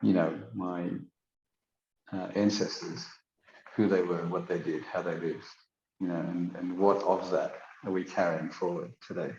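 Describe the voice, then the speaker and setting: With a very deep, low pitch and vocal fry, a man talks in fairly even intonation, leaving long, frequent pauses amid audible room echo. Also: moderate pace. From South Africa. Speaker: podcast guest. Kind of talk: casual interview chat. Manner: halting, with many fillers.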